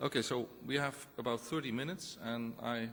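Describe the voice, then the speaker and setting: A man with a Dutch accent speaks at a medium pitch. His pace is moderate and his pitch variation ordinary. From Netherlands. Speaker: professor. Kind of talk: conference presentation.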